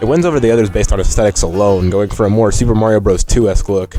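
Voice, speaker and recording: Music plays in the background as a man speaks very fast with a fairly low pitch and ordinary pitch variation. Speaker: gaming video creator. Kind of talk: scripted video essay narration.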